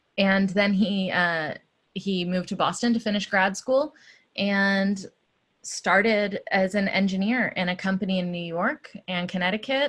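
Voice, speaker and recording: Against a quiet background, a woman with an American accent uses a normal speaking voice at a medium pitch. Her pace is fairly slow and her intonation fairly even. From US South, Georgia (Atlanta). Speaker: activist. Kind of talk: interview. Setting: stage with audience.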